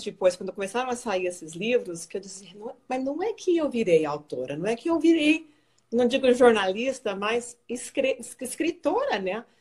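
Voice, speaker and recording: Her pitch fairly high, a woman talks at a moderate pace with very wide pitch swings. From Brazil, raised in the United States until 16. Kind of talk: interview on Instagram live. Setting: Instagram live video call. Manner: halting, repeats words.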